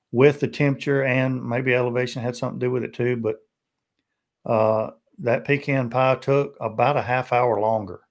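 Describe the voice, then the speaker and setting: A man's medium-pitched voice, monotone and flat, at a moderate pace in a very clean recording with a silent background. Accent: Tennessee. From Tennessee. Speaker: BBQ YouTuber. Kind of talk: live stream casual chat.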